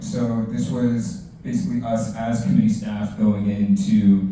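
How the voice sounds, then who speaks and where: There is audible room echo around this man. His pitch swings very widely. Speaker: city council staff panelist. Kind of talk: career panel presentation. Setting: library event with audience. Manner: fast.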